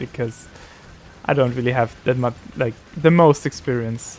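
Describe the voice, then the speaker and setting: Over noticeable background noise, a man with a German accent talks at a moderate pace and medium pitch with fairly even intonation. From Austria. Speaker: streamer. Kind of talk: casual gaming livestream chat. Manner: halting, many fillers and restarts.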